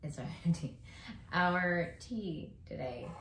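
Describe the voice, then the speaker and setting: A woman talks at a fairly slow pace. Audible room echo and noticeable background noise are present. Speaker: podcast co-host, married parent. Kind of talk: casual chat.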